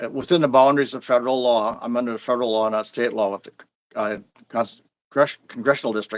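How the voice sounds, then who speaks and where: Speaking very fast with fairly even intonation, a man with an American accent shows big swings in loudness. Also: medium pitch for a man. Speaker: local party official. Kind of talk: interview. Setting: live stream. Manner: halting, frequent restarts.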